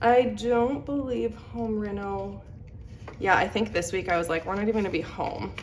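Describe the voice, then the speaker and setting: There is audible room echo as a woman speaks at a fairly slow pace with ordinary pitch variation. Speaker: budgeting vlogger. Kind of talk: casual chat. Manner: casual, filler-heavy.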